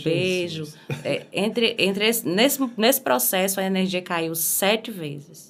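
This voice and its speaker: With lively intonation and a medium pitch, a woman speaks at a fairly slow pace. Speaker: singer. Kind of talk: podcast interview answer.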